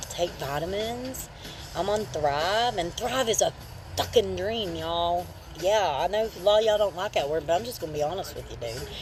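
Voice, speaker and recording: Music plays in the background as a woman speaks at a moderate pace with a strong Appalachian accent. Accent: strong regional Appalachian. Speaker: livestreamer. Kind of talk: casual livestream chat. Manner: casual, rambling with fillers.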